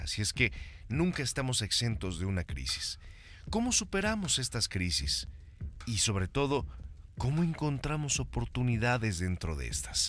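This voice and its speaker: A man at a medium pitch and moderate pace, with very wide pitch swings, on a very clean recording with a silent background. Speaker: radio host. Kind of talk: podcast interview host.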